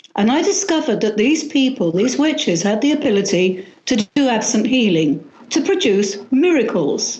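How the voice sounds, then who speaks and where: A woman with a fairly high pitch speaks at a moderate pace with very wide pitch swings. Her loudness is very even, and audible room echo surrounds her. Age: 60s. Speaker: witchcraft author. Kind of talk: interview.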